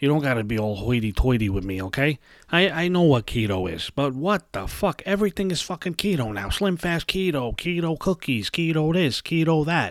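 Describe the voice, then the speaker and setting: Fairly quick in pace, the voice makes very wide pitch swings in a dry, close sound with no echo. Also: man, very clean recording, silent background. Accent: New York. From New York City (Brooklyn). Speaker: podcast host. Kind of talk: casual rant monologue. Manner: animated.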